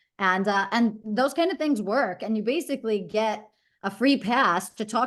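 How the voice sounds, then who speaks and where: The voice comes with a New York accent and ordinary pitch variation. Behind it, the background stays quiet. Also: woman. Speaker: branding expert. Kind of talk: presentation. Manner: fast.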